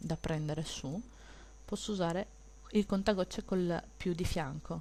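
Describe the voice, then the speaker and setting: Soft-spoken, a woman speaks with a fairly low pitch and a dark, mellow tone. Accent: strong Venetian. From Veneto, Italy. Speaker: digital illustrator. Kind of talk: tutorial. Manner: soft-spoken, kept low for neighbors.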